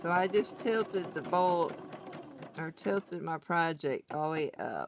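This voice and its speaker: In a Southern accent, the speaker talks at a fairly slow pace. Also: woman, fairly low pitch for a woman, ordinary pitch variation. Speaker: crafting tutorial host. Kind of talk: tutorial. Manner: casual, chatty.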